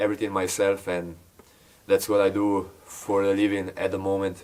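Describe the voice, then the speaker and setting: The man talks at a fairly slow pace. His voice is fairly low. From Slovenia. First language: Slovenian. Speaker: YouTuber building an off-grid log cabin. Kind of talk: casual Q&A talk to camera. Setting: at the log cabin. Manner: hesitant, many filler words.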